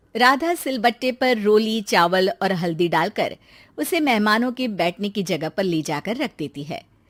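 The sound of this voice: On a very clean recording with a silent background, a woman with a medium pitch and lively intonation speaks at a fairly slow pace.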